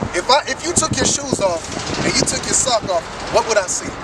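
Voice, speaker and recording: Over noticeable background noise, a man with an extremely high pitch talks loudly at a fairly quick pace with lively intonation. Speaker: street preacher. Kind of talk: sermon. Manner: bold, forceful.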